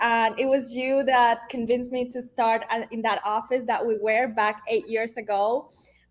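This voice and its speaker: A high-pitched woman speaking at a fairly slow pace. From Venezuela. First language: Spanish. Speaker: realtor. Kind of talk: interview.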